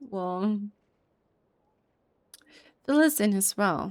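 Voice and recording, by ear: A woman's medium-pitched voice, clear and smooth, with a slightly mellow tone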